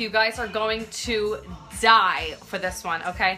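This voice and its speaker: Over faint music in the background, a woman speaks at a fairly slow pace with fairly even intonation. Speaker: makeup live streamer. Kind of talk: casual tutorial chat. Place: home room. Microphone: phone near.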